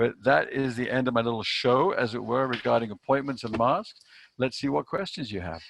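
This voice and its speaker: A man speaks at a fairly quick pace with a medium pitch, lively intonation, and vocal fry. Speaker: sales trainer. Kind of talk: online training presentation. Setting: video call. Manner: fast; animated.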